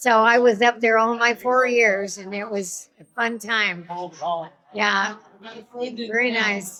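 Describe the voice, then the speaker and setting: In a Pacific Northwest accent, a woman with fairly high pitch speaks at a very slow pace in a monotone, flat intonation. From Washington State, Yakima area. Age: 90s. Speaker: alumna at school reunion. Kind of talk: casual interview.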